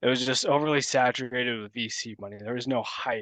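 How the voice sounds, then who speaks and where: Over a quiet background, a man speaks at a medium pitch and a fairly quick pace. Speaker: crypto podcast co-host. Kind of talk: casual chat.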